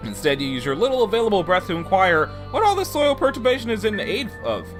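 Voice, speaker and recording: Music plays in the background as the speaker goes at a very fast pace. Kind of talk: casual game narration.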